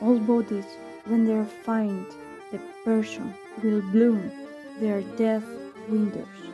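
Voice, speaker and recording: A woman's fairly high voice at a very slow pace, with fairly even intonation, long, frequent pauses and music in the background. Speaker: poet. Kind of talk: poetry reading.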